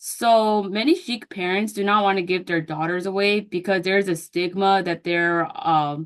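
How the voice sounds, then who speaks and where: A woman with an unremarkable speaking voice talks at medium pitch and a moderate pace with fairly even intonation. She barely pauses, and the background is quiet. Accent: American. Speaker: counseling student. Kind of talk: class presentation. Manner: casual with fillers and self-corrections.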